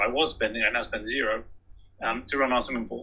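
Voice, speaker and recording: A man with a British accent. He talks at a very fast pace. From England. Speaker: author and energy efficiency speaker. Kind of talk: presentation. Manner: hesitant with fillers.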